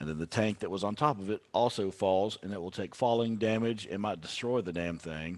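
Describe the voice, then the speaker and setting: A man with a Texan accent, fairly low in pitch, at a fairly quick pace with hardly any pauses, on a very clean recording with a silent background. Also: ordinary pitch variation. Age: 30s. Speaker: country musician. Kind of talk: casual chat.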